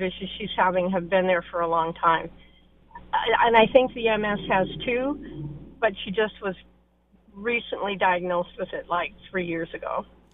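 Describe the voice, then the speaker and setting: A woman speaks at a moderate pace and medium pitch, with ordinary pitch variation. Noticeable background noise runs underneath. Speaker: caller. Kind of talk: call-in advice question. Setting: phone call.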